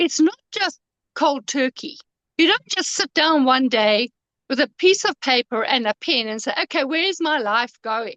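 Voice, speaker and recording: A woman speaks in a high, bright, sharp voice, her pitch swinging very widely. Her pace is moderate, and the sound is dry and close with no echo. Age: 70s. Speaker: author and life coach. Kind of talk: casual chat. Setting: live stream.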